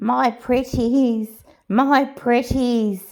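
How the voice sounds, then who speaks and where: Raising and projecting her voice, a woman uses a put-on character voice at a high pitch. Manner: gleeful, eerie.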